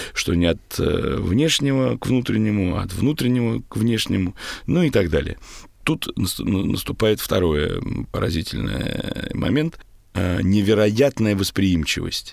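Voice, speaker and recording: Speaking very slowly, a man with a fairly low pitch makes very wide pitch swings. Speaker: theatre actor and director. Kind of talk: interview. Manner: trained stage speech.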